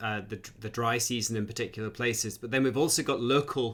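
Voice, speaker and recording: This man talks at a very fast pace with a Scottish accent. His pitch is medium and his intonation fairly even. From Scotland. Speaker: academic host. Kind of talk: live Q&A interview.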